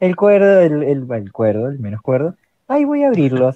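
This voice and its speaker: A man's fairly high voice in an Argentine accent, dark and mellow in tone, at a moderate pace, with a dry, close sound and no echo. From Argentina. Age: 30s. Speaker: electrician and role-playing gamer. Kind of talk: casual panel chat.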